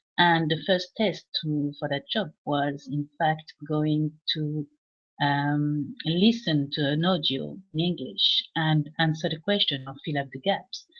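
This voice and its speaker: A woman speaks with a French accent in a very deep, low voice. Her pace is very slow, with ordinary pitch variation. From France. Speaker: English teacher. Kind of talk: casual live chat. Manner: halting, many fillers.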